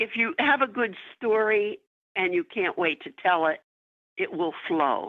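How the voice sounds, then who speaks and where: A woman speaks at a fairly slow pace, her pitch fairly high. She leaves long, frequent pauses, and her pitch swings very widely. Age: 80s+. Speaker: author. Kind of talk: interview.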